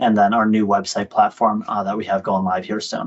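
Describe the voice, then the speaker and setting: The speech comes at a fairly quick pace with monotone, flat intonation. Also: man. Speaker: professional association board member. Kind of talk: presentation. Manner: fast.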